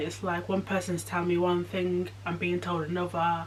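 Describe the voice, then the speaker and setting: Noticeable background noise runs behind a woman talking at a medium pitch. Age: 20s. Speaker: vlogger. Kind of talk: personal vlog. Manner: halting.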